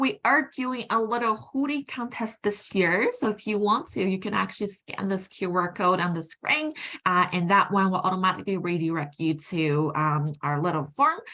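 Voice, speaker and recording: The voice has a bright, sharp tone and very wide pitch swings. It moves at a moderate pace with hardly any pauses. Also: woman. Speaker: university recruitment officer. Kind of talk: presentation. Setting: virtual university fair.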